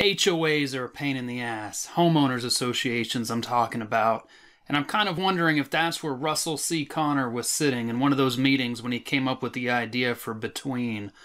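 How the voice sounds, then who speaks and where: A bright, sharp tone moves at a fairly quick pace with hardly any pauses. Pitch varies in an ordinary way against a quiet background. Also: man. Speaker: horror author. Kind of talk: casual talk to camera. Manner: no put-on accents. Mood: wry, playful. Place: home room. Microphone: webcam.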